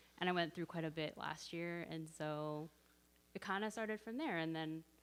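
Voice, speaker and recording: With a Canadian accent, a woman speaks at a moderate pace in a fairly low pitch and with fairly even intonation. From Canada (Edmonton, Alberta). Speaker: church member sharing testimony. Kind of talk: casual church sharing. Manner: loud.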